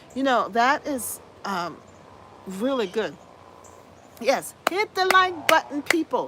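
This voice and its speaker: Raised and projected, a woman's high voice carries an animated tone with very wide pitch swings. Noticeable noise runs underneath. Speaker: gardening channel host. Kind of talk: live stream chat.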